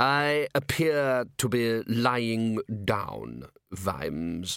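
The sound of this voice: A man's put-on character voice, clear, smooth and fairly bright in tone, with vocal fry, a very slow pace, and a very clean recording with a silent background. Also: fairly low pitch for a man, ordinary pitch variation.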